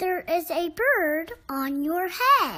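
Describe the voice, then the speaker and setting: Pitched extremely high, this is a put-on character voice. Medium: read story.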